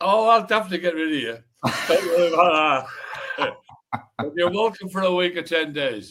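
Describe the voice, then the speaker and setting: In a Northern Irish accent, a man with a high pitch speaks at a fairly quick pace, using ordinary pitch variation and long, frequent pauses. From Northern Ireland. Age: 70s. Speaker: amateur football club founder. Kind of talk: casual chat.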